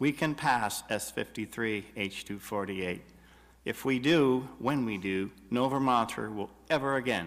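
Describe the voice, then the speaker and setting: On a very clean recording with a silent background, an unremarkable speaking voice proceeds at a moderate pace. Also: man. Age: 60s. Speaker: health care activist. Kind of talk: public testimony. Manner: formal.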